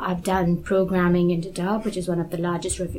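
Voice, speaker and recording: A woman speaks at a medium pitch. Noticeable background noise and an audible room echo can be heard. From Kenya. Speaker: global health expert. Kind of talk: interview.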